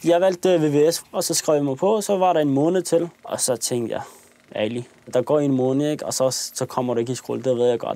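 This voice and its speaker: At a fairly quick pace, a man talks. His fairly high pitch shows ordinary variation. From Copenhagen area, Denmark. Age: 20s. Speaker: young man in documentary. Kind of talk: documentary interview storytelling. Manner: casual, with hesitations.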